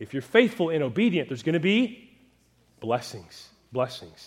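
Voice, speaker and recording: Fairly high in pitch for a man, his voice shows vocal fry and moves at a moderate pace. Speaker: pastor. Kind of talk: sermon. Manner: not loud today.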